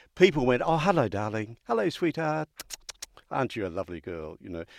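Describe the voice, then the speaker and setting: In an Australian accent, a man at a medium pitch speaks at a fairly quick pace with very wide pitch swings, in a dry, close sound with no echo. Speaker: podcast host. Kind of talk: interview.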